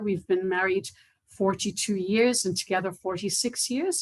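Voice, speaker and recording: She talks with an Irish accent, her pitch sitting in the middle range. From Ireland, near Waterford. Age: 60s. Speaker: cochlear implant recipient. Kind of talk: testimony. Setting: online video event.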